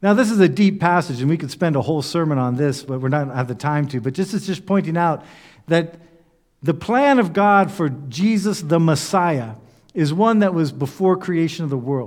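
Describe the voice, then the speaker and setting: Very cleanly recorded against a silent background, a man uses an ordinary speaking voice at a fairly high pitch. His intonation is lively and his pace moderate. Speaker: pastor. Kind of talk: sermon.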